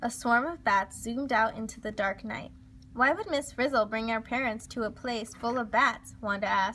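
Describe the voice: This is plain reading aloud. The pitch varies an ordinary amount.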